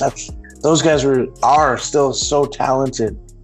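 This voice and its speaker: A man talks at a medium pitch and a fairly slow pace. His intonation stays flat and monotone, with music playing in the background. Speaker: podcast host. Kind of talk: podcast interview.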